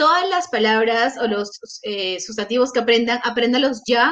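A woman speaks with a Peruvian accent. Her pitch is fairly high. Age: 20s. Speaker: scholarship recipient, master's student. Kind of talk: interview. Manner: talkative.

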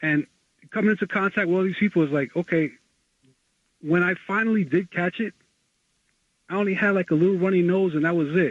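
In a dry, close sound with no echo, a man with a high pitch talks at a fairly quick pace, with ordinary pitch variation and long, frequent pauses.

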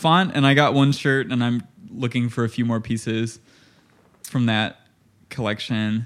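A man's medium-pitched voice in an American accent, fairly slow and fairly even, with long, frequent pauses. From Illinois, US Midwest. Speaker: artist and musician. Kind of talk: casual chat.

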